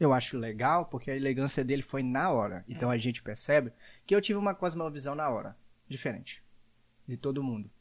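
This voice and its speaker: On a very clean recording with a silent background, a man with an unremarkable speaking voice talks fairly quickly at medium pitch. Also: lively intonation. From Brazil, Espírito Santo (Jaguaré). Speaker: podcast host. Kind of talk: casual chat.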